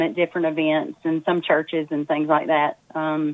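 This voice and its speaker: Speaking at a moderate pace, a woman has a fairly low-pitched voice. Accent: Southern US. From Texas. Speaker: singer-songwriter. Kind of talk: casual interview.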